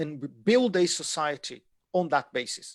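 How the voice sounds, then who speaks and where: In a dry, close recording with no echo, a man with a Portuguese accent speaks in a fairly high voice with lively intonation. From Brazil. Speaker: economics lecturer. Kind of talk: lecture.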